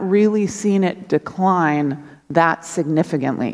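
The background stays quiet as a woman talks. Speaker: preacher. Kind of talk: sermon. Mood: earnest, conversational. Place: church. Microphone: headset.

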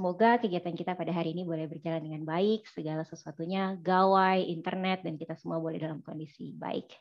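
In a quiet background, a woman talks at a very fast pace with hardly any pauses. Her pitch is fairly low and her intonation fairly even. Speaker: webinar moderator. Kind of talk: moderated online seminar. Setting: video call. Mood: warm, smiling. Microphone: headset.

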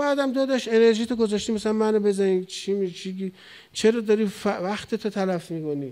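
Against a quiet background, a man with a high pitch and a dark, mellow tone speaks at a moderate pace with ordinary pitch variation. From Iran, Tehran. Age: 40s. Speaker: cleric; cleric lecturer. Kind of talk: sermon. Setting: mosque pulpit with audience. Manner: animated. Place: hall. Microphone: studio mic.

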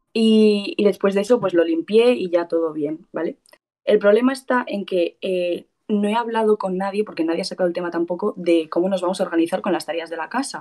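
Over a quiet background, a woman with a Spanish accent and a dark, mellow tone talks at a very fast pace with ordinary pitch variation. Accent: Peninsular Spanish. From Spain. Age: young. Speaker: caller seeking advice; caller. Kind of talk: casual chat. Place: home room. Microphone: video call.

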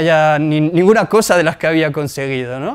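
A man talks at a fairly quick pace in a high-pitched voice. The background is quiet. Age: 20s. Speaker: entrepreneur and blogger; blogger. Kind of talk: lecture; conference talk, personal story. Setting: stage with audience. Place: hall.

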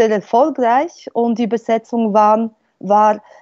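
A Polish accent comes through in monotone, flat intonation, with a dry sound, no echo and a quiet background. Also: woman. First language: Polish (speaking German). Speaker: linguistics professor. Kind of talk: panel discussion. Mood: calm, explanatory. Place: home room. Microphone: earbuds.

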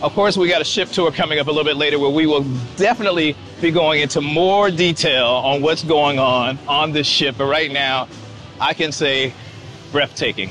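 Moderate-paced male speech with ordinary pitch variation, a dry sound with no echo, and clear music in the background. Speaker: travel vlogger. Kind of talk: casual vlog chat. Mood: excited, impressed. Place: garden. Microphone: phone near.

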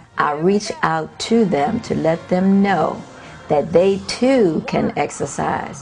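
A woman's voice with music in the background. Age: 70s. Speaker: fitness instructor. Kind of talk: interview answer.

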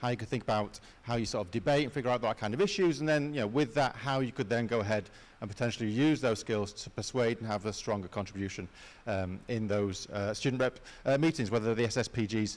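Very fast talk from a man, pitch varying in an ordinary way. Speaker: university careers adviser; presenter. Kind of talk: presentation to student assembly. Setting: stage with audience. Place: hall.

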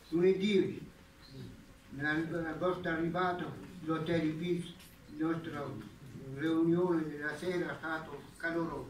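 Speaking very slowly with long, frequent pauses, a man with a high voice keeps his intonation fairly even, while the room echoes audibly over light background noise. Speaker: master of ceremonies, local official. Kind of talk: formal ceremonial speech.

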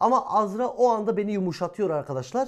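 In a very clean recording with a silent background, a man with a high pitch talks at a fairly quick pace with lively intonation. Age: 20s. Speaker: YouTuber. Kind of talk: casual Q&A chat.

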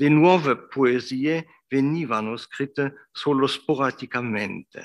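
A fairly high-pitched man with a German accent, ordinary pitch variation and a very slow pace. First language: German (speaking Italian). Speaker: professor, literary scholar; professor. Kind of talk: lecture. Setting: academy hall with audience. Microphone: video call.

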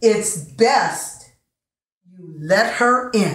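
There is audible room echo around a woman speaking. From United States. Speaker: storyteller, poet. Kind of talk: poetry reading, live storytelling performance. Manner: rhythmic, playful. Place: home room. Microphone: camera far.

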